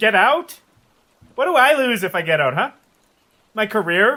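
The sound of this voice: A put-on character voice with a bright, sharp tone, big pitch swings and a fairly slow pace. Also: man, high pitch for a man.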